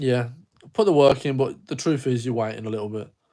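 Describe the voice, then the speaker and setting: With a dark, mellow tone, a man speaks at a medium pitch and ordinary pitch variation in a very clean recording with a silent background. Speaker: online business coach. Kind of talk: live Q&A stream. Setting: livestream. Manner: casual, sweary.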